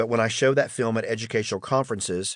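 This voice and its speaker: A man at a moderate pace and medium pitch, with fairly even intonation, a slight Southern US accent and a quiet background. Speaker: audiobook narrator, school principal. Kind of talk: audiobook reading of a memoir.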